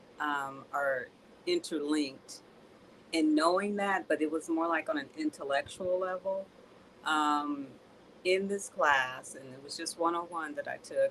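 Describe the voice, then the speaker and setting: A soft-spoken woman with a very deep, low pitch, a fairly slow pace, ordinary pitch variation and big swings in loudness. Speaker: student. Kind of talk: testimony.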